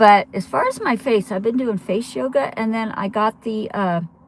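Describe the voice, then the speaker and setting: The speaker talks at a fairly slow pace with a Western US accent. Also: woman. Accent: American, Western US. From Colorado. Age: 60s. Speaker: travel vlogger. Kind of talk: live stream casual chat. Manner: rambling, hesitant with fillers.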